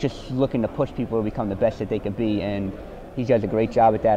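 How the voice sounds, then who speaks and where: A voice with a New Jersey accent over noticeable background noise. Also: man. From US Northeast, New Jersey. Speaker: college basketball player. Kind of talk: interview. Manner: halting.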